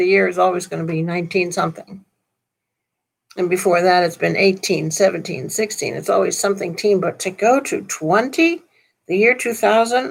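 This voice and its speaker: Vocal fry at a moderate pace, with ordinary pitch variation. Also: woman, medium pitch for a woman. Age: 70s. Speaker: minister. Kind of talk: sermon. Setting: live stream from laptop. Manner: casual, conversational.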